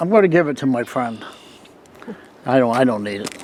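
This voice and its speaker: A man speaks in a fairly high voice. Noticeable background noise runs behind him. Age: 70s. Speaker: car collector. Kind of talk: casual chat.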